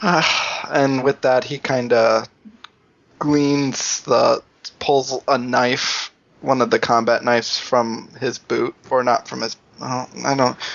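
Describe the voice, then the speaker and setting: A man speaks very slowly with fairly even intonation. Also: medium pitch for a man. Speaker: tabletop game player. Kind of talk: casual game chat.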